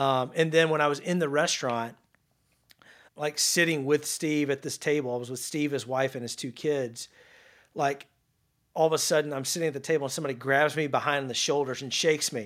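A man with a Louisiana accent and a fairly high pitch speaks at a fairly quick pace on a very clean recording with a silent background. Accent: Southern US (Louisiana). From North Louisiana, small town near Shreveport. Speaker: sales executive. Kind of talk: interview. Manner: casual, animated.

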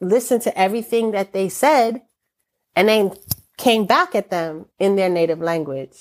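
A woman speaks at a moderate pace with lively intonation in a plain, everyday voice, recorded very cleanly against a silent background. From New York City, Brooklyn. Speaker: retired teacher and poet. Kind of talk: poetry reading and interview.

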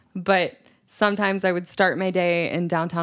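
A woman with an American accent, an ordinary speaking voice, fairly low in pitch at a moderate pace. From US South. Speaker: English teacher. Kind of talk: casual chat. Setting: studio.

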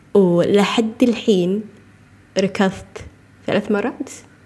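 There is noticeable background noise behind a woman speaking. Her voice sits at medium pitch with ordinary pitch variation. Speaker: podcast host, nutrition coach. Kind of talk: casual monologue.

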